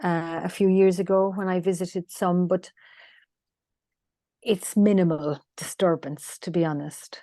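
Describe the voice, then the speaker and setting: A woman's fairly low, dark and mellow voice with a Cork accent, fairly even in intonation, broken by long, frequent pauses, against a quiet background. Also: fairly slow pace. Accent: Irish (Cork). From Ireland, rural West Cork. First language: Irish. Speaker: land healer. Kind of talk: interview conversation. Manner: halting, many fillers.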